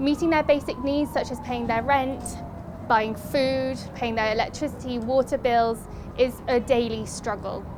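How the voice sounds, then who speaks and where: Through noticeable background noise, a woman speaks at a high pitch and moderate pace with fairly even intonation. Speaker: aid agency officer. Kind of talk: on-location documentary presenting.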